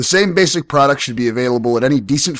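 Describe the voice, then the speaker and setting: The recording is very clean, with a silent background. On it, a man talks at a very fast pace. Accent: American. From United States. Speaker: sex advice podcast host. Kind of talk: casual advice monologue with listener mail.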